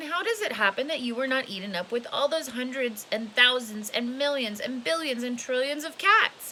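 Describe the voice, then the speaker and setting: A woman uses a put-on character voice, high in pitch, at a moderate pace with hardly any pauses. Clear background noise runs behind her. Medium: read story.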